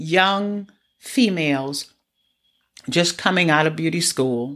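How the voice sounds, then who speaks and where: In a very clean recording with a silent background, a woman with a fairly low pitch speaks at a very slow pace, her intonation lively. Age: 60s. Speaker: hairstylist and life coach podcast host. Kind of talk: solo podcast monologue.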